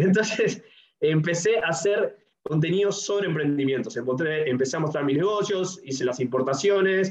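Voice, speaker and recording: Speaking with a Uruguayan accent, a man with a high pitch uses lively intonation and very even loudness. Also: moderate pace. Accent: Uruguayan Spanish (Rioplatense). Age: 20s. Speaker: entrepreneur and YouTuber. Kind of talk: casual interview.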